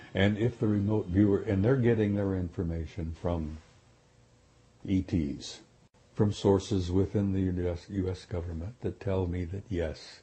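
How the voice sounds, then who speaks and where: With an American accent, a man speaks at a moderate pace in a very deep, low, somewhat breathy voice. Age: 70s. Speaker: retired military officer, UFO disclosure speaker. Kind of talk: interview.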